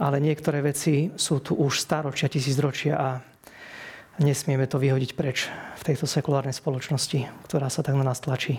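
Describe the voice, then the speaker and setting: A somewhat breathy man speaks at a moderate pace and fairly high pitch, with monotone, flat intonation and very even loudness. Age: 40s. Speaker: hospital chaplain priest. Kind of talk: interview. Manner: repetitive, hesitant word repeats.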